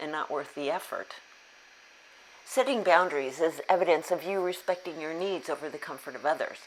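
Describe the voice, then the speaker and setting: An unremarkable speaking voice from a woman, pitched fairly low, moving at a moderate pace. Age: 60s. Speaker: self-help YouTuber on abuse recovery. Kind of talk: scripted talk to camera.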